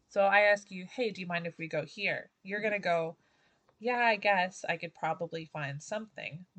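A woman speaks at a moderate pace with a plain, everyday voice. Her pitch is medium, with ordinary variation. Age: 30s. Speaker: school art workshop leader. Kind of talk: casual chat.

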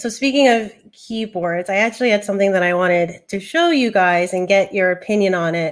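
With an unremarkable speaking voice, a woman speaks at a medium pitch and moderate pace with lively intonation. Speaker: tech show host. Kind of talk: casual chat. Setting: video call.

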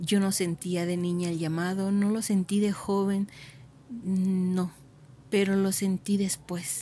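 A woman speaks at a very slow pace in a medium pitch, her somewhat breathy voice dark and mellow in tone, with monotone, flat intonation. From Mexico, Michoacán (Uruapan). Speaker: contemplative nun. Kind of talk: vocation testimony.

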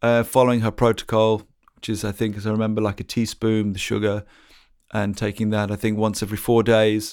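Fairly quick speech with an English accent on a very clean recording with a silent background. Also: man. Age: 40s. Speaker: musician and podcaster. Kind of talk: personal story monologue. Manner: hesitant, many fillers.

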